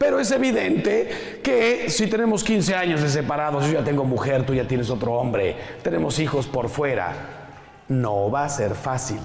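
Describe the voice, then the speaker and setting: A man with a fairly high pitch and an animated tone, very wide pitch swings, very even loudness, audible room echo, and noticeable background noise. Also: moderate pace. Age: 50s. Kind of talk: talk to a live audience.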